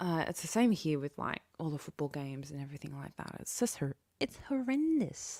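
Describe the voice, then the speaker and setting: Delivered in an Australian accent at a fairly quick clip, the speech has lively intonation and big swings in loudness, with a dry, close sound and no echo. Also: woman, very deep, low pitch for a woman. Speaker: livestreamer. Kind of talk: casual chat with live chat viewers.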